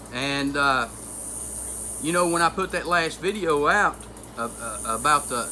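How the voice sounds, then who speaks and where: The speech keeps a moderate pace with noticeable noise in the background. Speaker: homesteading channel host. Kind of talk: personal vlog monologue. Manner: halting, struggles for words.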